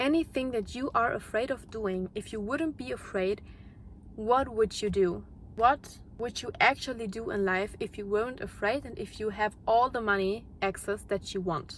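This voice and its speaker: Speaking at a moderate pace with a non-native accent, a woman uses a fairly high pitch and ordinary pitch variation. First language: not English. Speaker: YouTuber, mindset content creator. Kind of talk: motivational monologue. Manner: unscripted, with repetitions and restarts.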